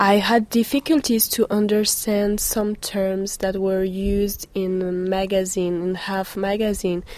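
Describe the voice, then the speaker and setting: A woman talks at a fairly slow pace and medium pitch, with fairly even intonation and hardly any pauses. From France, Paris suburbs. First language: French (speaking German). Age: 20s. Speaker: blogger. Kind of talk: interview.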